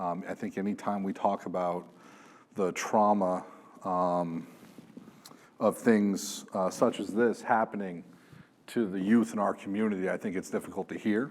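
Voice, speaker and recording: A man's fairly low voice at a moderate pace, with fairly even intonation and long, frequent pauses. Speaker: police sergeant. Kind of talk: conference talk.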